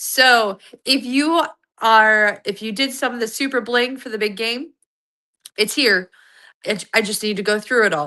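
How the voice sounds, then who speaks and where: An animated, bright, sharp tone at a fairly slow pace, with long, frequent pauses over a quiet background. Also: woman, fairly high pitch for a woman, ordinary pitch variation. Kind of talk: live sales stream. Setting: home office livestream. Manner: chatty, animated.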